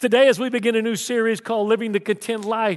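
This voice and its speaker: With a Southern US accent, a man speaks at a high pitch with ordinary pitch variation. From Texas. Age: 60s. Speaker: pastor. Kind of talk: sermon. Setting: church.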